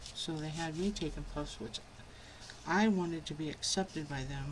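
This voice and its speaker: A soft-spoken woman with a very deep, low pitch and fairly even intonation, in audible room echo. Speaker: crafting youtuber. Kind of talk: tutorial. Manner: casual.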